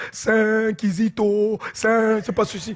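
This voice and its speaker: Quiet surroundings and a man's voice with a high pitch. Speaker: pastor. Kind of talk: sermon. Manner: slow; animated.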